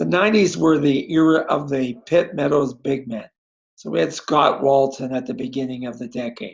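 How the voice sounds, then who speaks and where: Lively intonation and vocal fry mark a man's fairly high-pitched voice in a Canadian accent. He talks at a moderate pace. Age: 70s. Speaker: basketball coach. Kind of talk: interview. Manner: conversational.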